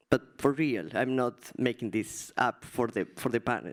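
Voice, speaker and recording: Spoken at a fairly slow pace with a Spanish accent, the clip is a very clean recording with a silent background. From Argentina. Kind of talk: panel discussion.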